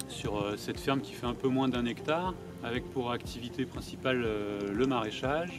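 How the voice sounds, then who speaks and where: Music plays in the background as a man talks at a moderate pace and medium pitch. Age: 30s. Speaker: organic vegetable farmer. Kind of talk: interview testimony. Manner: hesitant, many fillers and repetitions.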